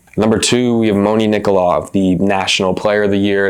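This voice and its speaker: Noticeable background noise accompanies a man whose voice is fairly low in pitch. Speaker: volleyball analyst. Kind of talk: sports analysis talk to camera.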